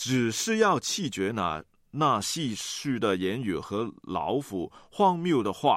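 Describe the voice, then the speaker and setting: Heard on a very clean recording with a silent background, a man at a medium pitch lets his pitch swing very widely. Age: 30s. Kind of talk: radio talk with devotional reflection.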